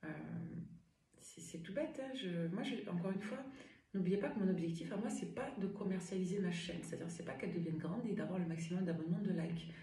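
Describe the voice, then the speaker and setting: With noticeable background noise and audible room echo, a woman talks at a very fast pace, her pitch medium and its variation ordinary. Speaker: medium and tarot reader. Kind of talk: tarot reading livestream. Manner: animated.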